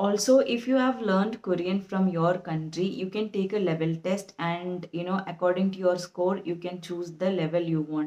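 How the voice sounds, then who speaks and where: With a non-native accent, a woman talks at a medium pitch in a dark, mellow tone, her intonation fairly even and hardly any pauses breaking her speech. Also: moderate pace. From India. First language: an Indian language. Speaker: YouTuber. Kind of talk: tutorial.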